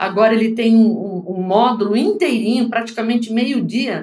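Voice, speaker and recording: A fairly high-pitched woman's voice, somewhat breathy, at a moderate pace. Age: 60s. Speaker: foreign trade consultant and teacher. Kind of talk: interview.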